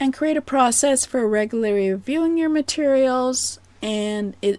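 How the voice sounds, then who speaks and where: With a Canadian accent, a woman speaks at a fairly slow pace with lively intonation. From Canada. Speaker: business coach. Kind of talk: presentation. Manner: soft-spoken.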